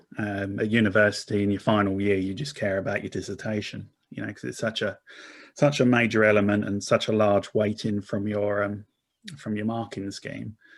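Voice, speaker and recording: A man with an Essex accent, fairly low-pitched, at a fairly quick pace with fairly even intonation over a quiet background. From Essex, England. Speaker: corporate marketing director. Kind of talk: interview conversation. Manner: repetitive false starts.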